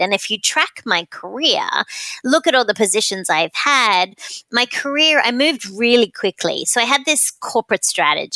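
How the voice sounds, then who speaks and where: With an Australian accent, a woman speaks at a moderate pace in an animated, bright, sharp tone. Her pitch is fairly high with very wide swings, in a very clean recording with a silent background. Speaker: client experience expert and author. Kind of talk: podcast interview.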